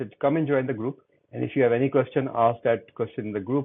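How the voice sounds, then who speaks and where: Speaking at a fairly quick pace, a man with a Pakistani accent keeps a medium pitch and fairly even intonation. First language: Urdu. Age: 60s. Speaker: LinkedIn coach. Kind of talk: interview.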